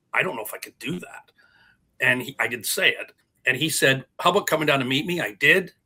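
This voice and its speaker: A man in a Canadian accent at a fairly quick pace, with big swings in loudness. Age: 60s. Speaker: TV hockey producer. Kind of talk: casual chat.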